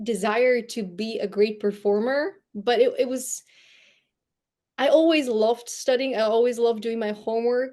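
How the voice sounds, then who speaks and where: The voice has a dark, mellow tone and comes with a Bulgarian accent. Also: woman, fairly high pitch for a woman, ordinary pitch variation, moderate pace, quiet background. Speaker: storyteller and brand coach. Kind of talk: interview conversation.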